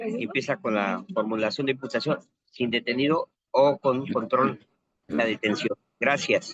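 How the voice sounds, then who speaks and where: With an unremarkable speaking voice, a man of medium pitch talks at a fairly slow pace with lively intonation, the sound dry and close with no echo. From Mexico City, Xochimilco. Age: 60s. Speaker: criminal defense lawyer, master's student. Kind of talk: class discussion.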